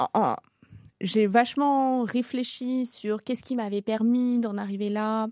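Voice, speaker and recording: A woman's fairly high voice with a dark, mellow tone and fairly even intonation, in a dry, close sound with no echo. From France, Seine-et-Marne (Paris region), Sri Lankan family. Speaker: restaurant entrepreneur. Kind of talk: interview testimony. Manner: hesitant, many fillers.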